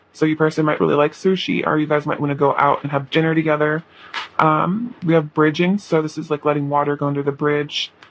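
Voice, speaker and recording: A woman's very deep, low voice at a very fast pace, fairly even in intonation, over noticeable background noise. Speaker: tarot reader. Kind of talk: tarot reading. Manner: casual, filler-heavy.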